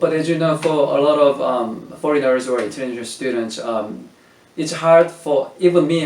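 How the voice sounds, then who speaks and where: Over noticeable background noise, a man with a Korean accent speaks at a moderate pace with ordinary pitch variation. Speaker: language teacher, interviewer. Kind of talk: casual interview.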